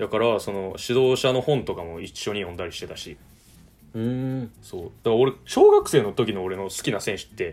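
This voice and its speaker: An unremarkable speaking voice moves at a moderate pace with ordinary pitch variation. Its loudness swings widely. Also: man, medium pitch for a man. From Japan, Kyoto. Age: 20s. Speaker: football podcast host. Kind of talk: casual chat.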